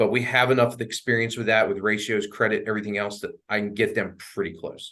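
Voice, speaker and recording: A man's bright, sharp voice at a fairly quick pace, monotone and flat in intonation. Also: medium pitch for a man. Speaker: mortgage loan officer. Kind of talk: presentation with Q&A to real estate agents. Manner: fast.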